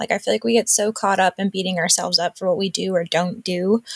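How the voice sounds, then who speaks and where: A woman with an American accent talks very fast at a medium pitch, her intonation flat and monotone. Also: dry, close sound with no echo. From US Northeast, Western Massachusetts. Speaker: mom and online community co-founder. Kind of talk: interview.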